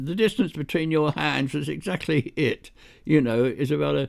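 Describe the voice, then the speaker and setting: A man is speaking. He has a British accent. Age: 80s+. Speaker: retired computing pioneer. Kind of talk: interview answer, storytelling. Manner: warm, gentle, enthusiastic; hesitant, many fillers.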